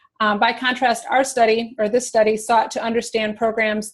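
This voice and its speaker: A woman's fairly high-pitched voice at a fairly quick pace. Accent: American. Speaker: museum educator. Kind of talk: webinar presentation. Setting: online webinar. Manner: hesitant, many fillers.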